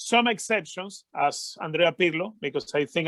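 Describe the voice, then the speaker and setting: A man with a Venezuelan accent speaks at a high pitch and a fairly slow pace. The sound is dry and close, with no echo. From Venezuela, Caracas. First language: Spanish. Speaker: football commentator. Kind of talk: interview. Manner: halting, many fillers.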